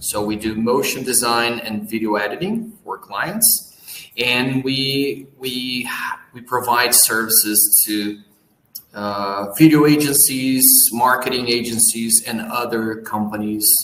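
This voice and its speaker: Noticeable background noise sits behind a man with a Portuguese accent and a medium pitch. He talks at a very slow pace with fairly even intonation. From Brazil. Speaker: business owner, post-production company. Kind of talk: interview.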